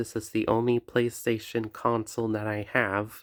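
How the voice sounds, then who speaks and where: A man's medium-pitched voice at a very slow pace, dry and close with no echo, in a very clean recording with a silent background. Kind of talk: casual talk to camera. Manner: hesitant, many fillers.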